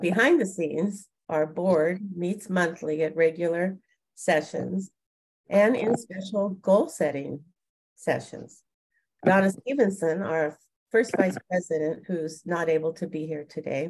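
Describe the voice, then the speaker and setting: A woman with a plain, everyday voice speaks at a fairly slow pace, her fairly low pitch showing ordinary variation. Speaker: organization leader giving a report. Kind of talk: meeting report read from notes. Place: home room. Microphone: video call.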